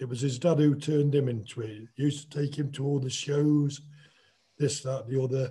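In an East Midlands accent, a man speaks somewhat breathily at a moderate pace over a quiet background. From England. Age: 60s. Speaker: boxer. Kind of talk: casual chat. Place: home room. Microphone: video call.

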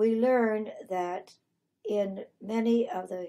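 A woman's dark, mellow tone with ordinary pitch variation. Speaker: retired French teacher. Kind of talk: interview answer.

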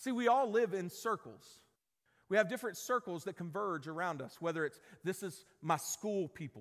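A man talks at a moderate pace, his pitch high and his tone fairly bright. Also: ordinary pitch variation.

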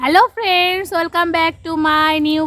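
A woman's voice with fairly even intonation. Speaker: vlogger and mother. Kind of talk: casual vlog talk, partly baby talk to her child.

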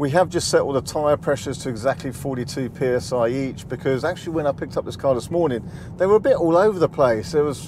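A man's very fast, lively speech with hardly any pauses, a dry sound with no echo and noticeable background noise. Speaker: car reviewer. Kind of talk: casual vlog chat. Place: car. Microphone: lapel.

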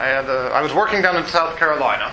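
Through noticeable background noise and audible room echo, a man talks at a fairly quick pace in a fairly high voice. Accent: American. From Ohio. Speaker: university lecturer. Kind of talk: lecture. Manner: casual, conversational.

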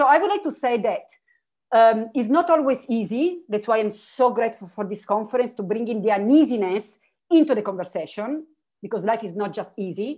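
A woman with an Italian accent, fairly high-pitched with a dark, mellow tone, fairly quick and lively in intonation against a quiet background. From Italy, Turin; Italy. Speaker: philosopher; keynote speaker. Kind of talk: keynote dialogue. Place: home room. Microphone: video call.

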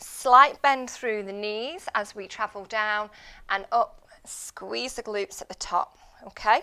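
A woman in an upbeat tone speaks at a very slow pace with ordinary pitch variation against a quiet background. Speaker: fitness instructor. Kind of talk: live guided workout class, instructing and counting reps. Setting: live online class, video workout. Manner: upbeat, clear and encouraging, giving cues and counting reps; steady, paced, rhythmic. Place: gym.

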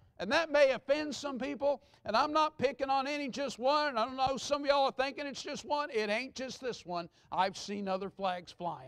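Over a quiet background, a man with an American accent speaks at an extremely high pitch, with lively intonation and a moderate pace. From Texas. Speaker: pastor. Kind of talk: Sunday morning sermon, conversational with the congregation, pressing a hard point. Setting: church. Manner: earnest and reassuring, repeating himself to drive the point home; folksy and off-the-cuff, with asides. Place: church.

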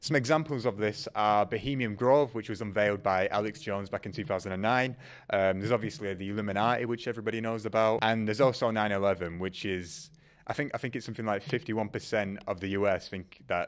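Fairly low in pitch, a man speaks with ordinary pitch variation. His pace is fairly quick, and the background is quiet. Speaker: documentary host. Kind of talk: presenter commentary. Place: studio. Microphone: handheld.

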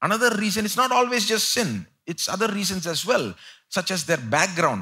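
A man speaks at a moderate pace with a bright, sharp tone and vocal fry. His pitch swings very widely over a quiet background. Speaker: preacher. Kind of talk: sermon. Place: church. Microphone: headset.

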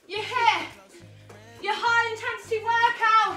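Over faint music in the background and audible room echo, a woman speaks in a raised, projected voice at a very slow pace. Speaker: fitness instructor. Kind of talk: workout instruction. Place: home room. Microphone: camera far.

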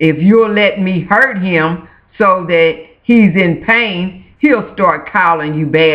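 Reading aloud in a natural voice with ordinary pitch variation

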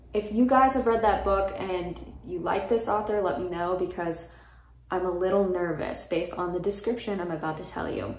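The voice has an American accent and fairly even intonation at a moderate pace. Audible room echo surrounds it. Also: woman. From Florida. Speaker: book youtuber. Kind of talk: casual vlog monologue; casual vlog chat. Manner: casual, filler-heavy. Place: home room.

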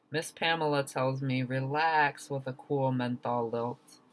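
In an American accent, a man speaks at a very slow pace with an intense tone. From US. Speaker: poet. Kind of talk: spoken word poetry performance, reading own poem. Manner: rhythmic, emphatic, intense. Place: home room. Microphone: webcam.

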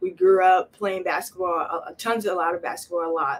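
Speaking at a moderate pace with a New Jersey accent, a woman keeps her intonation fairly even. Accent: New Jersey American. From New Jersey, Camden. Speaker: college basketball player. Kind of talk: interview. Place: office. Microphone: camera far.

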